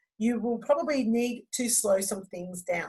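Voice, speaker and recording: A somewhat breathy, fairly high-pitched woman's voice with ordinary pitch variation over a quiet background. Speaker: fitness instructor and trainer. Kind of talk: online training presentation.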